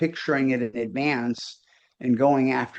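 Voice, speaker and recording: A man speaks in an ordinary speaking voice at a fairly high pitch. His pace is fairly slow. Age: 60s. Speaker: business coach. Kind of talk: casual chat.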